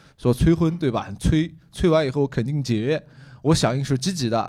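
With a plain, everyday voice, a man speaks at a fairly high pitch with lively intonation. The recording is very clean, with a silent background. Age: 30s. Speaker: comedian. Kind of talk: casual chat. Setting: stage with audience.

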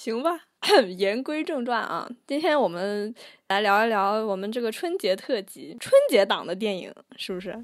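Recorded very cleanly against a silent background, a woman speaks at a moderate pace with a fairly high pitch that swings very widely. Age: young. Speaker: podcast co-host. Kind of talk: casual chat.

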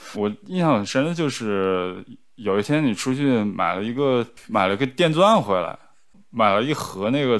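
An ordinary speaking voice from a man, medium-pitched and lively in intonation, at a moderate pace in a very clean recording with a silent background. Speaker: guest, partner of the host. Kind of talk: casual chat. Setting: recorded in person in the same room.

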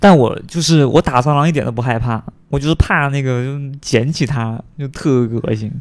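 With a Cantonese accent, a man talks at a medium pitch. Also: ordinary pitch variation, moderate pace. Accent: Cantonese-accented Mandarin. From Guangdong, China. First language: Cantonese (speaking Chinese). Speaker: podcast guest. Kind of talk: casual chat. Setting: at home.

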